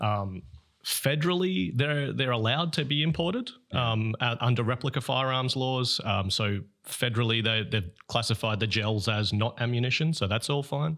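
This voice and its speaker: A man with a medium-pitched voice speaks at a fairly quick clip, his intonation lively and his tone bright and sharp, on a very clean recording with a silent background. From Australia. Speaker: visiting airsoft player. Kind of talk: casual podcast chat. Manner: relaxed, frequent fillers and repeated words.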